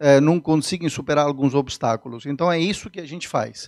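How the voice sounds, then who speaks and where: At a fairly high pitch with ordinary pitch variation, a man speaks in a dry, close sound with no echo. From Sicily, southern Italy. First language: Italian (speaking Portuguese). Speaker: business consultant. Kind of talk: interview. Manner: halting.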